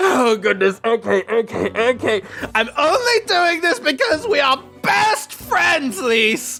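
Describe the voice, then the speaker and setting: A put-on character voice, high-pitched and nasal, at a fairly slow pace with clear music in the background. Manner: muffled, reluctant, grudgingly giving in.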